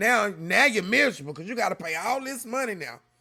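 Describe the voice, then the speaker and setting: With a raised, projected voice, a man speaks in a bright, sharp, animated tone and lively intonation. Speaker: reaction youtuber. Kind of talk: casual chat.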